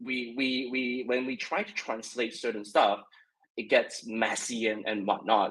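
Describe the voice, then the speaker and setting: In a Mandarin accent, a man speaks slowly-ish, at a fairly slow pace, with a medium pitch and fairly even intonation. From China. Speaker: web3 content creator. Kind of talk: casual discussion. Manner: halting, many repetitions.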